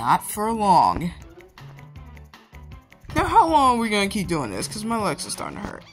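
A put-on character voice speaks at a fairly high pitch and moderate pace. Faint music plays in the background. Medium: dub.

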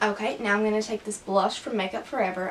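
There's light noise in the background. A woman does the talking. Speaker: beauty vlogger. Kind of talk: tutorial. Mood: relaxed, cheerful. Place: home room. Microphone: camera far.

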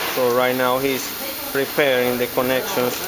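Heavy background noise is present throughout. Over it, a man talks. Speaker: presenter. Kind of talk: commentary. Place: factory. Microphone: phone near.

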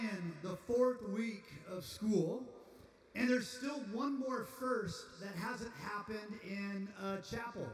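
Against audible room echo, a man with a high pitch talks at a fairly slow pace with fairly even intonation. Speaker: campus pastor. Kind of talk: chapel announcements and introduction. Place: hall.

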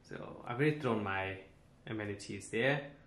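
Speech at a fairly slow pace comes with audible room echo. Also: man. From South Africa. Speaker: flight attendant and travel vlogger; travel vlogger. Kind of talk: travel vlog. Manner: casual, upbeat. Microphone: phone near.

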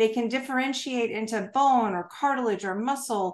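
Lively intonation runs through this moderately paced speech in an American accent. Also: woman. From United States. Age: 50s. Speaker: health technology consultant and retired navy officer. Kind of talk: interview. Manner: animated. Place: home room. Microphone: webcam.

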